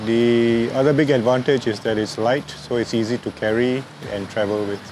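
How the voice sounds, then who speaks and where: A man speaks at a medium pitch and a moderate pace with fairly even intonation. Noticeable background noise runs underneath. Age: 60s. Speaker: drone hobbyist. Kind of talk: interview. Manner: hesitant with fillers.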